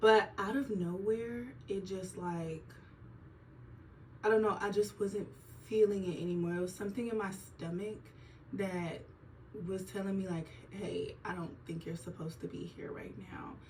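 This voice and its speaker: Long, frequent pauses break up the speech, with big swings in loudness and a somewhat breathy quality. Audible room echo surrounds ordinary pitch variation. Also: woman, medium pitch for a woman. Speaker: nurse vlogger. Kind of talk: casual vlog monologue. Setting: filming at home on an iPad during skincare routine. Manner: slow; chatty, casual.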